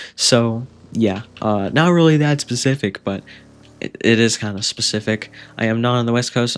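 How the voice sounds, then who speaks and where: A man with an ordinary speaking voice talks at a fairly slow pace and medium pitch with ordinary pitch variation, in a very clean recording with a silent background. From Canada, Ontario. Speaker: gaming YouTuber. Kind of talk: Q&A video answering viewer questions. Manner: casual with many fillers.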